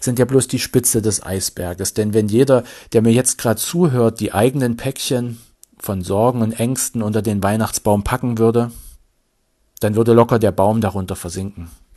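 Fairly even intonation from a man of medium pitch, dark, mellow tone, quiet background. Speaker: vicar giving sermon. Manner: earnest, slow and measured, sincere, gently pleading.

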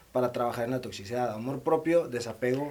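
A man at a fairly quick pace. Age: 30s. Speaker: podcast co-host. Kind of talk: casual chat.

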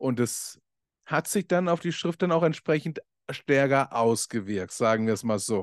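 In a medium pitch, a man talks at a fairly slow pace with lively intonation, the sound dry and close with no echo against a quiet background. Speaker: podcast host and coach. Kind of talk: casual monologue.

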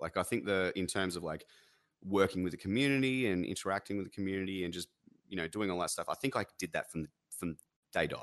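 Speaking very fast, a man with an Australian accent uses a very deep, low pitch and ordinary pitch variation, recorded with a dry, close sound with no echo against a quiet background. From Australia, NSW/Victoria border. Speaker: streamer and musician. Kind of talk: casual chat.

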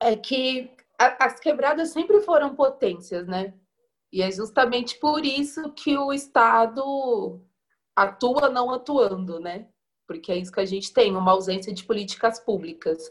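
A woman with a high pitch speaks at a fairly slow pace, her voice making very wide pitch swings. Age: 20s. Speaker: community tourism educator. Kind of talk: panel discussion.

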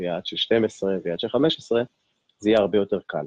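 A man's unremarkable speaking voice, fairly low in pitch, at a fairly quick pace. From Israel, Ashkelon. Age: 40s. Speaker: fitness coach and life coach. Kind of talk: interview conversation.

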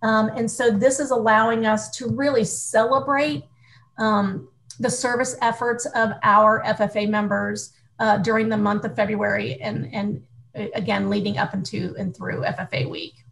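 This woman talks at a fairly slow pace with a fairly high pitch, lively intonation and some vocal fry, in an American accent. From US Midwest, small-town Ohio. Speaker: youth organization staff leader. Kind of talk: interview.

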